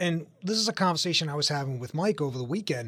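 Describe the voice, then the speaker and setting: Speaking very fast, this man has a somewhat breathy voice. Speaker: financial adviser co-host. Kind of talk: radio talk show. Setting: studio.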